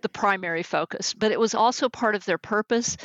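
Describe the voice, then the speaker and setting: With a slight Texan accent, a woman with a fairly high pitch talks at a fairly quick pace and fairly even intonation. The sound is dry and close with no echo, over a quiet background. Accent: slight Texas accent on certain words. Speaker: executive coach and management consultant. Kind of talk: interview.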